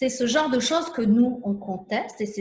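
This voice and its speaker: A woman's fairly high voice at a moderate pace. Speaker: immigration consultant. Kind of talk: live stream discussion. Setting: live video broadcast. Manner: animated.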